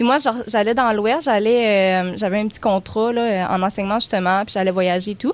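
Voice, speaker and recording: This woman has an ordinary speaking voice with a medium pitch. She talks at a moderate pace with ordinary pitch variation. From Quebec, Baie-Comeau area. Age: 20s. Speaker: outdoor tourism entrepreneur. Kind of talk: casual chat.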